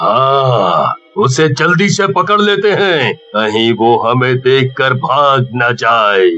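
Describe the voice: Putting on a cartoonish character voice, a man speaks at a very slow pace and medium pitch with hardly any pauses.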